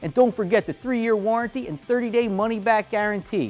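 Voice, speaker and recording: A man at a fairly quick pace over faint background music. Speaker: presenter. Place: studio. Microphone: lapel.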